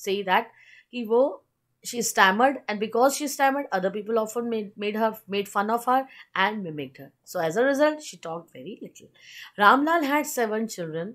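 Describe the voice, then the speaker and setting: Over a quiet background, a woman speaks at a fairly quick pace with lively intonation. Her fairly high voice has big swings in loudness. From India. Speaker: teacher. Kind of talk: lecture. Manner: code-switching Hindi and English.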